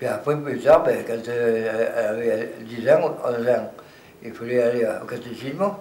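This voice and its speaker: A man talks at a fairly slow pace with audible room echo and noticeable background noise. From Provence, Vaucluse (Pernes-les-Fontaines area). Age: 80s+. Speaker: retired farmer. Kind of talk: oral history interview. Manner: halting.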